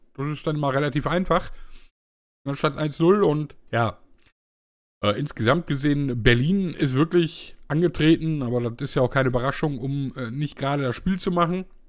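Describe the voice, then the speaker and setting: A man with a plain, everyday voice speaks at a fairly high pitch. His pace is moderate and his pitch variation ordinary. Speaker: football talk show host. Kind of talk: casual chat. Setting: online group voice call.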